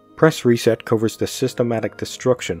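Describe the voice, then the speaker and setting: Music can be heard behind the voice. The speaker is a man. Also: dry sound with no echo. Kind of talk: commentary.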